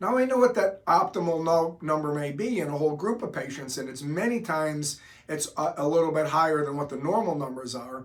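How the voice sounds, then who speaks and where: A man with an unremarkable speaking voice and fairly high pitch talks fairly quickly. His intonation is lively, and he hardly pauses. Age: 60s. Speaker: doctor explaining hormone therapy. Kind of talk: explanatory talk to camera.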